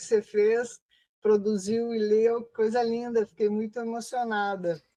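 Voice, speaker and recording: A woman speaks at a fairly slow pace with a fairly high pitch. Her intonation stays monotone and flat. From southern Brazil, Rio Grande do Sul. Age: 60s. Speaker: researcher and activist. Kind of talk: interview. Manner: hesitant, many fillers.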